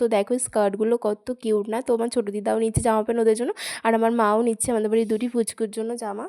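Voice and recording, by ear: Very clean recording with a silent background. The tone is dark and mellow, the pitch barely moves, and the pace is very fast. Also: woman, fairly high pitch for a woman.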